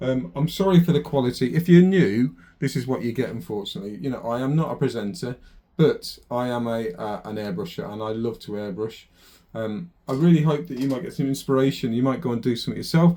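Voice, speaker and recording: Mumbling at a very fast pace, a man uses a medium pitch, a dark, mellow tone and lively intonation. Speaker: airbrush artist. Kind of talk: tutorial. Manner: casual, hesitant.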